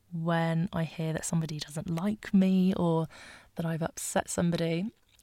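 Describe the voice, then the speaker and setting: In a British accent, a woman with a fairly low pitch speaks in a monotone, flat way on a very clean recording with a silent background. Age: 20s. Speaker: podcast host. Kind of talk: solo podcast monologue. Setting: home bedroom.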